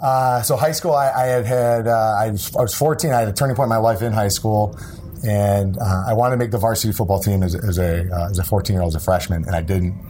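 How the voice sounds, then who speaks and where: A man with an American accent talks at a fairly quick pace and a fairly low pitch, with ordinary pitch variation and very even loudness. Room echo is audible, along with noticeable background noise. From upstate New York. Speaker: former NFL player and entrepreneur. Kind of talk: interview.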